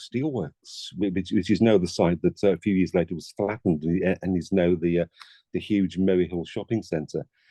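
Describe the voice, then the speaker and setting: A man's very deep, low voice with a dark, mellow tone at a fairly quick pace, dry and close with no echo over a quiet background. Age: 60s. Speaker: former radio broadcaster and journalist. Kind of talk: interview. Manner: halting, many repeated words.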